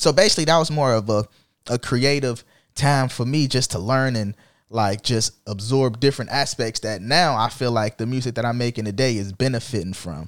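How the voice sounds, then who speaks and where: An unremarkable speaking voice from a man with an American accent, medium pitch, ordinary pitch variation and a fairly quick pace, on a very clean recording with a silent background. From Jacksonville, Florida. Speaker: rapper. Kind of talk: casual chat.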